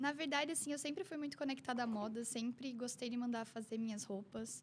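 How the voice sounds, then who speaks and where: A woman speaks with a slight Curitiba accent in a high pitch. Her pace is fairly quick, with ordinary pitch variation. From Curitiba, southern Brazil. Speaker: image consultant. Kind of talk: casual interview.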